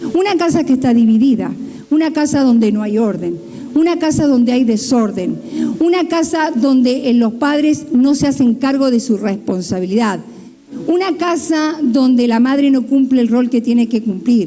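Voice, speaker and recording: A high-pitched woman with lively intonation and very even loudness, plus audible room echo and noticeable background noise. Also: moderate pace. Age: 60s. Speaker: pastor. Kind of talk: sermon.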